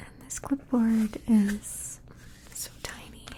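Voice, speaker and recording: Against noticeable background noise, a woman talks in a gentle tone with monotone, flat intonation. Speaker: ASMR artist. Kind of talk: ASMR demonstration to camera. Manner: soft-spoken, gentle.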